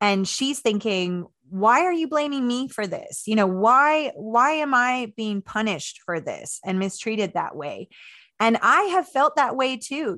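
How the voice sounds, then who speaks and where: A woman speaks fairly slowly in a General American accent, her high-pitched voice bright and sharp in tone. Her pitch swings very widely, against a quiet background. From Maryland, US (Washington DC area), early childhood on Navajo Nation. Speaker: historian and author. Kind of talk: interview conversation.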